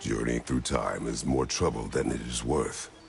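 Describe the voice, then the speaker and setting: A man puts on a character voice with a very deep, low pitch. He keeps a moderate pace over clear background noise. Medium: video game. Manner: terse, grave.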